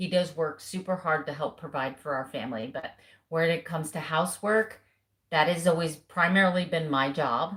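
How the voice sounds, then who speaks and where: Somewhat breathy woman in a Southern US accent. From US South. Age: 50s. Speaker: keto lifestyle vlogger. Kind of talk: casual live stream chat. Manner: animated.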